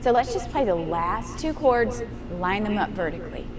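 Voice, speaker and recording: A woman's animated tone swings very widely in pitch as noticeable background noise carries on behind her. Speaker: piano teacher giving a master class. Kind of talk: master class instruction. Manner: animated, encouraging.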